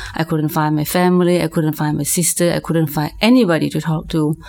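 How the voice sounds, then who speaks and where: A woman speaks in a Lao accent with a very deep, low pitch. Noticeable background noise sits behind her. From Laos. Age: 40s. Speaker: minister. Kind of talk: testimony.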